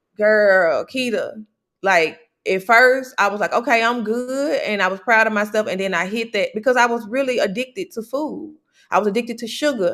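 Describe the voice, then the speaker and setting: In an animated tone, a woman speaks at a moderate pace with ordinary pitch variation. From US South, Memphis, Tennessee. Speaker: podcast host, wellness coach. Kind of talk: casual chat. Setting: live video stream.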